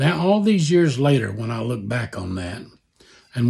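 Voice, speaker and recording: At a fairly quick pace, a man speaks at a medium pitch with very wide pitch swings, his tone dark, mellow and somewhat breathy. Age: 70s. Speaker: author and Vietnam veteran. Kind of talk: personal reflection.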